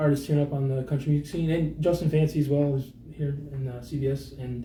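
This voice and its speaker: A man with a Newfoundland accent speaks fairly quickly. His fairly high voice stays monotone and flat. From Newfoundland, Central (Lewisporte). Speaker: singer-songwriter. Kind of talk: casual interview chat. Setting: radio studio, live streamed.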